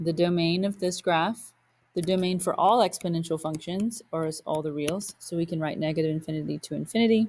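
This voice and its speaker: A woman speaks at a fairly quick pace, her pitch fairly low. It is an ordinary speaking voice with fairly even intonation. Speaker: math teacher. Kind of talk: lecture.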